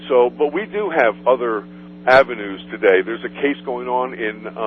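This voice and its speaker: A man speaks at a moderate pace while noticeable background noise carries on. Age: 60s. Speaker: author. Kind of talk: radio interview. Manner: halting.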